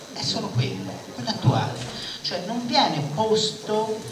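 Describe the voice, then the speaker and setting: Loud background noise fills the clip. The speaker goes at a fairly slow pace. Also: man. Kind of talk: political speech. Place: hall. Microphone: podium.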